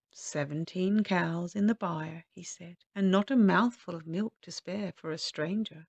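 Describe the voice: Plain reading aloud with ordinary pitch variation and a quiet background.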